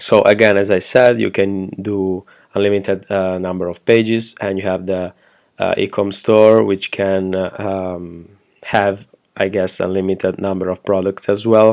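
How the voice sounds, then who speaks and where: Flat, monotone intonation comes through in this speaker's non-native accent. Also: man, fairly low pitch for a man, fairly slow pace. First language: not English. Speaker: web design agency owner reviewing software. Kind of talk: product review tutorial. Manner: hesitant, many fillers.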